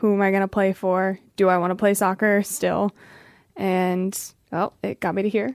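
An unremarkable speaking voice with an American accent moves at a moderate pace with fairly even intonation, recorded very cleanly against a silent background with a dry, close sound and no echo. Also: woman, medium pitch for a woman. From US, Pennsylvania. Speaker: professional footballer. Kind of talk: casual interview. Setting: studio.

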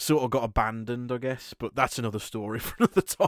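A man with a British accent, a medium pitch and ordinary pitch variation, at a fairly quick pace, in a dry, close recording with no echo. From Britain. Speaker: podcast host. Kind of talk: casual chat. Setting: remote call.

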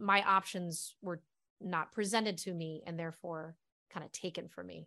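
Over a quiet background, a woman speaks at a moderate pace with medium pitch in an unremarkable speaking voice. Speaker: actress. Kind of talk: casual chat.

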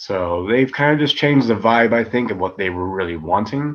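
The man's pitch is medium and his intonation lively. He speaks at a very fast pace. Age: 30s. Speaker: professional wrestler. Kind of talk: casual interview.

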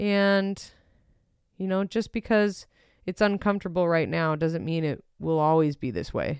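In a very clean recording with a silent background, a woman with an ordinary speaking voice talks at medium pitch and a fairly slow pace, with ordinary pitch variation. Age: 30s. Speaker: podcast host. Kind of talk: casual monologue. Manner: conversational, filler-heavy.

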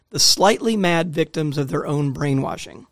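Using a plain, everyday voice, a man with an American accent talks at a fairly quick pace with ordinary pitch variation. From US South, Jackson, Mississippi. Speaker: author and religion researcher. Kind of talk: interview. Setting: studio.

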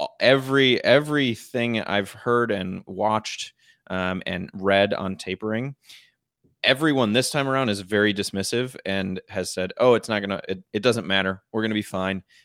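A man with an ordinary speaking voice and an American accent talks at a moderate pace with a fairly low pitch and ordinary pitch variation, in a very clean, dry, close recording with a silent background and no echo. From northern Michigan. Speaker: podcast co-host discussing investing. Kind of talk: casual chat.

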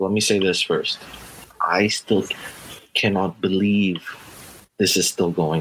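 Speaking at a fairly slow pace, a man with a fairly low voice keeps a monotone, flat intonation and leaves long, frequent pauses. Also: very even loudness. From North America, Filipino heritage. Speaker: podcast co-host. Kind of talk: casual chat.

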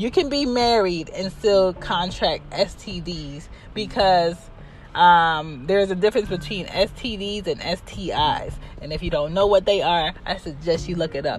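Animated in tone, a woman speaks at a fairly slow pace and medium pitch with ordinary pitch variation. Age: 30s. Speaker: podcast host. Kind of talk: opinionated solo monologue.

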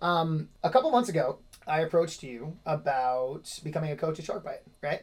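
In a normal speaking voice, a man talks at a moderate pace, with lively intonation and a fairly high pitch. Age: 30s. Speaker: podcast host and gym owner. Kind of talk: casual interview.

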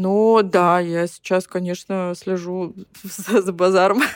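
In a very clean, dry, close recording with no echo and a silent background, a woman with an ordinary speaking voice talks at medium pitch with fairly even intonation. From Ukraine, rural village. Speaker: fashion designer. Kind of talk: casual chat.

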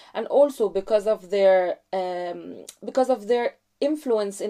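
In a quiet background, a woman with an Egyptian accent talks at a moderate pace in a medium pitch, her tone dark and mellow. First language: Arabic. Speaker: graduate student. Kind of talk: interview conversation. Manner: hesitant with fillers.

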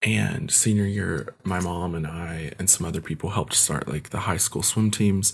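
Lively intonation with an American accent, some vocal fry, and a moderate pace. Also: man. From Kentucky, US. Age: 20s. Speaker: photographer. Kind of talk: casual interview.

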